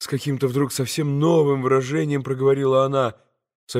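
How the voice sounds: Quiet surroundings frame a natural reading voice.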